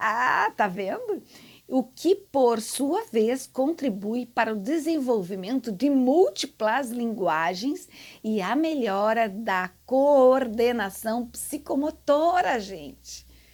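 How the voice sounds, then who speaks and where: On a very clean recording with a silent background, a woman with a high pitch talks at a very slow pace with lively intonation. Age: 60s. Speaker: gardening channel host, landscape designer. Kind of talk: casual tutorial to camera. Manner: animated.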